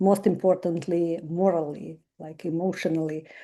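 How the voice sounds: A woman speaks at a moderate pace with a dark, mellow tone. Her fairly low voice shows little pitch movement.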